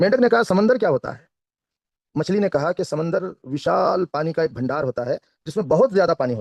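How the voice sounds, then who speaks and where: With a Kannada accent, a man speaks at a high pitch, his voice making very wide pitch swings and big swings in loudness, in a dry, close sound with no echo. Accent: Kannada-accented Hindi. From India, Karnataka. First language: Kannada (speaking Hindi). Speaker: network marketing trainer. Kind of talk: motivational talk with storytelling. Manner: careful, deliberate speech.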